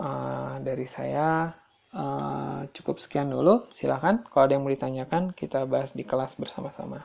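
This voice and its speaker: Noticeable background noise sits under speech that moves at a moderate pace. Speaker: accounting lecturer and auditor. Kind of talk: lecture. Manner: halting, many fillers.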